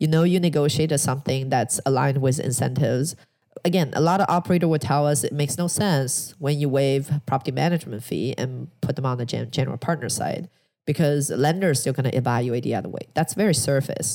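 A woman's very deep, low voice with a dark, mellow tone and a Chinese accent, fairly quick, with ordinary pitch variation. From China, Shanghai. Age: 30s. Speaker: real estate investor. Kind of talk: interview.

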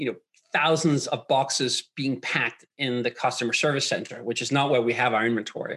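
With a Danish accent, a man speaks at a fairly high pitch and with fairly even intonation. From Denmark. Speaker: startup co-founder. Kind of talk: interview.

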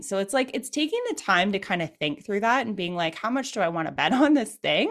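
A woman with a Canadian accent, medium pitch, very wide pitch swings and a fairly quick pace, over noticeable background noise. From Canada. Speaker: e-commerce web designer and business owner. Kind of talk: interview.

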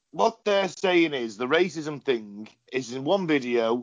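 A man's fairly high pitch and lively intonation, at a moderate pace. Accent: English. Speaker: podcast host. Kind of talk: casual chat. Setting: video call.

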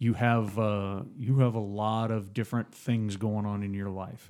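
At a moderate pace, a man talks in a fairly low pitch with an unremarkable speaking voice. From Phoenix, Arizona. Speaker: returning podcast guest acting as interviewer. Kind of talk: casual interview chat.

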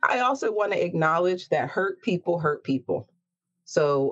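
Speaking at a moderate pace with an American accent, a woman lets her pitch swing very widely. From US, Baltimore, Maryland. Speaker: drag performer and story hour organizer. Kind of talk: interview.

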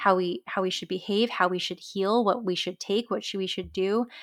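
A woman with an unremarkable speaking voice, medium pitch, ordinary pitch variation and a moderate pace, on a very clean recording with a silent background. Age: 30s. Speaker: wellness coach. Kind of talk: casual chat.

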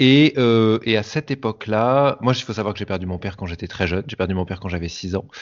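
Speaking very fast with hardly any pauses, a man uses a fairly low voice with ordinary pitch variation. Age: 30s. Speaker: hypnotherapist. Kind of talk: interview. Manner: animated.

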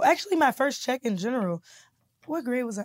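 A woman talks at a very fast pace and a high pitch. The recording is dry and close, with no echo. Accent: American. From Kansas City, Missouri. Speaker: comedian and YouTuber. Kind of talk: casual interview.

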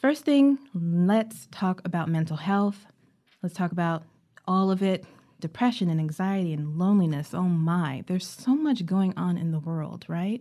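A woman with a fairly low pitch and a dark, mellow tone is heard on a very clean recording with a silent background. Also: moderate pace. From Caribbean. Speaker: psychotherapist and podcast host. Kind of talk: solo podcast monologue.

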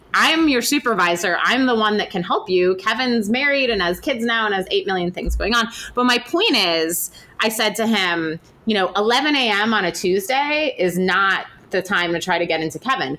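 There is noticeable background noise behind a woman speaking at medium pitch and a moderate pace. Her intonation is lively, and her loudness stays very even. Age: 30s. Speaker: podcast host and author. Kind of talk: casual interview. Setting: on location at a university.

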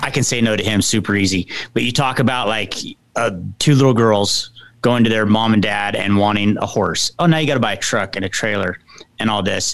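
With an ordinary speaking voice, a man talks at a fairly low pitch and a moderate pace, his intonation fairly even. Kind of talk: casual joking interview banter. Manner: playful, laughing, easygoing.

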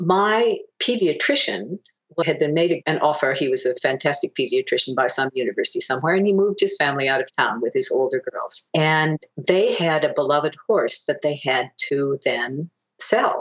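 A woman speaks with an American accent at a moderate pace. Her loudness stays very even. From United States. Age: 60s. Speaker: Olympic dressage rider and coach. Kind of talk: interview.

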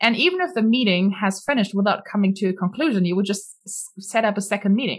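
A woman's somewhat breathy, medium-pitched voice with a German accent, very fast in pace and very even in loudness. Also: ordinary pitch variation. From Germany. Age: 20s. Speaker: entrepreneur. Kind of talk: interview.

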